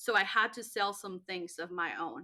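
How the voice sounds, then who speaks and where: In a very clean recording with a silent background, a woman with a slight Spanish accent speaks at a moderate pace in a bright, sharp tone with ordinary pitch variation. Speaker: network marketing entrepreneur. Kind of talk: interview testimony. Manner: animated.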